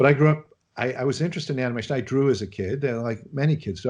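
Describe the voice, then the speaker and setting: A man with a Chicago accent at a very fast pace, over a quiet background. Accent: American Midwest (Chicago). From US Midwest, Chicago. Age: 60s. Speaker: animation film director. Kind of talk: interview.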